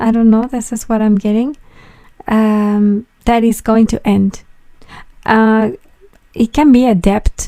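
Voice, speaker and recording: A woman with a non-native accent, fairly high pitch, a dark, mellow tone, fairly even intonation, a very slow pace and long, frequent pauses. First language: not English. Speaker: tarot reader. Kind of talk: tarot reading monologue. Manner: halting, with fillers and repetitions.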